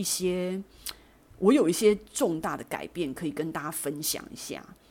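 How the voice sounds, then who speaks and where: A woman with a fairly low-pitched voice is heard on a very clean recording with a silent background. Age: 40s. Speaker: podcast host. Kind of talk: personal monologue.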